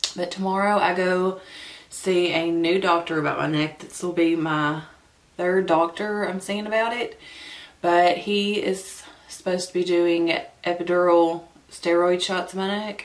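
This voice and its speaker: In a Southern US accent, a woman speaks at a fairly slow pace with long, frequent pauses. Her fairly low voice keeps a monotone, flat intonation. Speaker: beauty vlogger. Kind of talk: makeup first-impressions vlog. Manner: stumbling.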